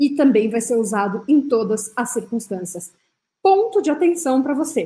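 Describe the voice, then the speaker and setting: At a fairly slow pace, a woman speaks in a dark, mellow tone with lively intonation. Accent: French. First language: French (speaking Portuguese). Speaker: French teacher. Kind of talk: tutorial. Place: home room.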